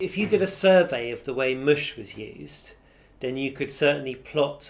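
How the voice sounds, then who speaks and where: Speaking at a moderate pace, a man has an ordinary speaking voice with a medium pitch. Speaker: university professor, dialect researcher. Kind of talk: interview answer.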